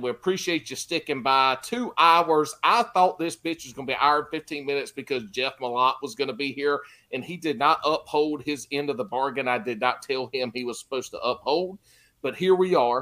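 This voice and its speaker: Someone with a Southern US accent speaks at a moderate pace with ordinary pitch variation. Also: man. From Carolinas, US South. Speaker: fishing podcast host. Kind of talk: casual chat. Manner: loud.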